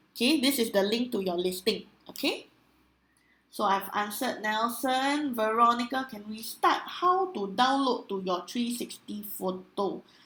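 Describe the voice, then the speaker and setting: A woman with a Singaporean accent has a fairly high pitch and lively intonation. She speaks at a fairly slow pace. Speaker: online trainer. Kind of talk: webinar training with live Q&A. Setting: live online webinar. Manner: loud.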